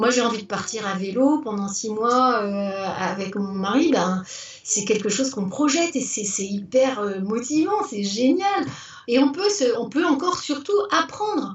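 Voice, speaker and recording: A woman with a high voice talks at a fairly slow pace, her pitch swinging very widely. Noticeable background noise and audible room echo surround her. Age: 60s. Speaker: retired teacher turned business owner. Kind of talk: interview. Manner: animated; halting, many repetitions and fillers.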